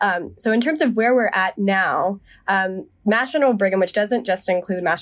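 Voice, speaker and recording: A woman with an American accent and a plain, everyday voice speaks at a fairly quick pace with a medium pitch. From US South, Charlotte, North Carolina. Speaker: medical resident. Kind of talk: debate discussion.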